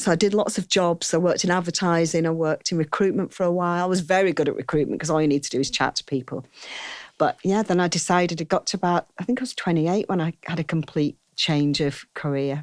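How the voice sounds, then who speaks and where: Speaking at a very fast pace, a woman uses a fairly low pitch with ordinary pitch variation. The recording is very clean, with a silent background and a dry, close sound with no echo. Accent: northern English. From northern England, Saddleworth near Oldham. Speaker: wedding hair and makeup artist. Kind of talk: interview conversation. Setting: outdoors on a verandah.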